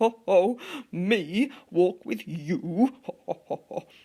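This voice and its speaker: At a very slow pace and middle pitch, the speaker performs a put-on character voice. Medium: read story.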